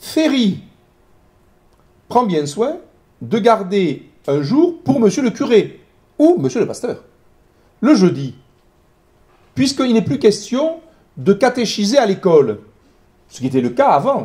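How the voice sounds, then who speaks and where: Very slowly and with long, frequent pauses, a man speaks in a high pitch with a dark, mellow tone. His pitch swings very widely. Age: 60s. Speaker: historian. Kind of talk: lecture. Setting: talk with live audience. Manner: hesitant, many fillers.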